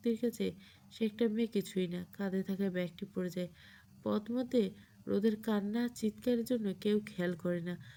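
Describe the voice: This is plain reading aloud, and the pitch moves in an ordinary way.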